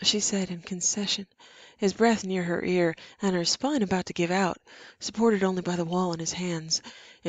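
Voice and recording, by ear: Intonation holds fairly even. The text is read aloud in a natural voice.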